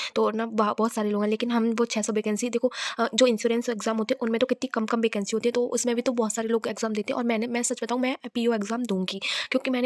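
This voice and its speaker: A woman speaks at a fairly high pitch in a flat monotone, recorded with a dry, close sound and no echo. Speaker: vlogger and bank exam aspirant. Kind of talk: casual vlog. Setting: self-recorded on camera. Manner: loud; halting.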